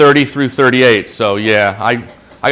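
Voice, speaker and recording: With noticeable background noise behind him, a man speaks at a moderate pace using ordinary pitch variation. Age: 60s. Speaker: small business owner presenting. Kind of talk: Q&A at a business meetup. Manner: halting, repeats words.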